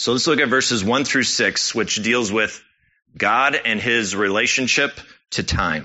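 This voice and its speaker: A man with a normal speaking voice at a medium pitch, a fairly slow pace, ordinary pitch variation and very even loudness. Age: 30s. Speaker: church elder preaching. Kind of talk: sermon.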